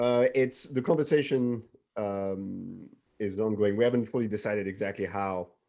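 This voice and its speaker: A man with a non-native accent, medium in pitch, with ordinary pitch variation and a moderate pace. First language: not English. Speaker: film writer-director. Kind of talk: casual interview. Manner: halting, many fillers and restarts.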